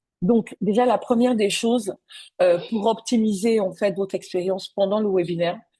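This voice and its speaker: A woman's voice of medium pitch and dark, mellow tone, at a moderate pace with fairly even intonation. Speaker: business coach. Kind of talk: webinar presentation. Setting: online webinar. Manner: soft-spoken; hesitant, many fillers.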